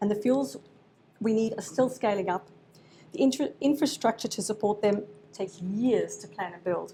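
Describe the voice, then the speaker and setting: A woman with an Australian accent speaks at a fairly high pitch with ordinary pitch variation. Her tone is dark and mellow, and somewhat breathy. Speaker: researcher giving a presentation. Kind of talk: presentation to an audience. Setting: event with live audience.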